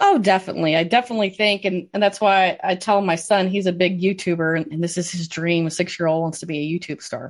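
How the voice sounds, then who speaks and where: Speaking very fast with hardly any pauses, a woman with an American accent keeps a medium pitch and fairly even intonation against a quiet background. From US Midwest, southwest Michigan. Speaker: swine industry expert with a doctorate. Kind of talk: interview.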